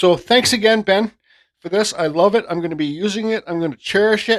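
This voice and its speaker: A man speaks at a fairly quick pace with ordinary pitch variation, his voice dry and close with no echo on a very clean recording over a silent background. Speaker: hobby painter and wood carver. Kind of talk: casual vlog monologue. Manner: halting, with repeated words.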